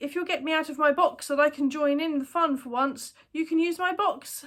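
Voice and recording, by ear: A woman does a put-on character voice that is gruff and high-pitched, delivered at a fairly quick pace with fairly even intonation.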